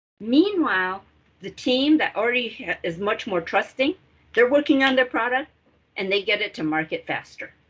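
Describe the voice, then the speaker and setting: A woman talks in a high pitch at a moderate pace. Her pitch swings very widely. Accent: non-native. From Taiwan. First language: not English. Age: 50s. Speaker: entrepreneurship consultant. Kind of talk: lecture. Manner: animated.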